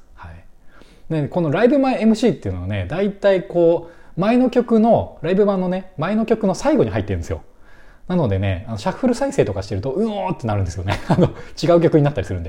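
Against a quiet background, a man talks at a very fast pace, his loudness swinging widely. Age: 30s. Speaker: music fan podcaster. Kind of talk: casual solo talk. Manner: halting, many fillers.

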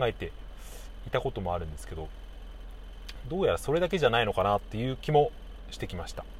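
Mumbling at a very fast pace, a man rushes through his words. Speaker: podcaster. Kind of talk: casual monologue.

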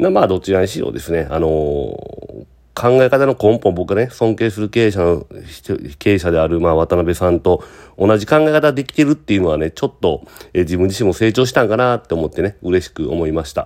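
At a fairly quick pace, a man talks in a very deep, low voice with lively intonation. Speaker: podcast host and business owner. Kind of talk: casual solo monologue podcast. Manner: casual, filler-heavy, conversational.

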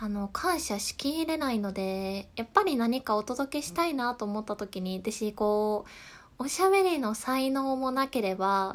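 A woman's calm tone at fairly high pitch and a fairly slow pace, with lively intonation, in a very clean recording against a silent background. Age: 20s. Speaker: podcast host. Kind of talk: solo talk. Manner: laughs at times.

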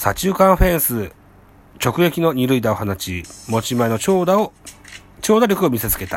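Noticeable background noise sits behind a man speaking. He keeps a moderate pace with very wide pitch swings. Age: middle-aged. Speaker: baseball podcast host. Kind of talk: reading news articles aloud; casual fan commentary.

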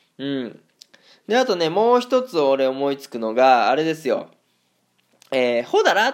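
A man talks at a fairly slow pace, leaving long, frequent pauses. His pitch swings very widely and his loudness rises and falls sharply. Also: fairly high pitch for a man. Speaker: footballer living in Germany, solo radio streamer. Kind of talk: solo talk monologue. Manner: casual, chatty, rambling.

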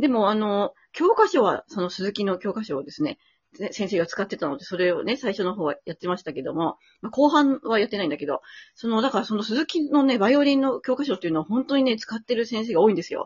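A woman speaks at a very fast pace in a fairly high, somewhat breathy voice with very wide pitch swings. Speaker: violinist and podcast co-host. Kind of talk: casual chat. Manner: hesitant, many fillers; lively.

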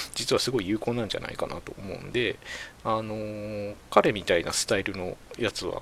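Background noise is noticeable here. This man's pace stays moderate. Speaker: podcast host. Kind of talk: casual solo talk. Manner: hesitant, many fillers.

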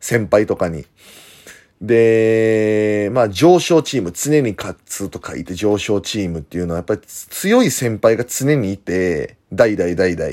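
On a very clean recording with a silent background, a man speaks at a fairly slow pace with lively intonation and big swings in loudness. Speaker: professional wrestler. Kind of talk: casual monologue. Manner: hesitant fillers.

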